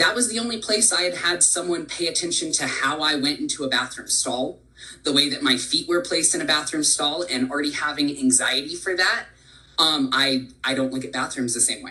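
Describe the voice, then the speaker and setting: A man with a fairly high voice talks fairly quickly while noticeable noise runs in the background. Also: ordinary pitch variation. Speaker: employee speaker sharing personal story. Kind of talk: presentation.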